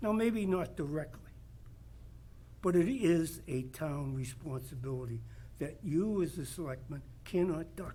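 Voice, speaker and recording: A man talks at a fairly slow pace, leaving long, frequent pauses. Audible room echo surrounds his voice. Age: 80s+. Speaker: resident speaking at public meeting. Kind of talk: public comment.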